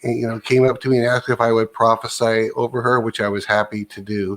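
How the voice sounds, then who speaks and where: With a plain, everyday voice, a man speaks at a fairly quick pace and medium pitch in a dry, close sound with no echo. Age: 60s. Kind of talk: casual chat.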